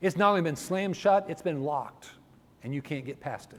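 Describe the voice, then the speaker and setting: With an American accent, a man speaks in a normal speaking voice at a moderate pace with ordinary pitch variation. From northern US. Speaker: preacher. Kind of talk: sermon.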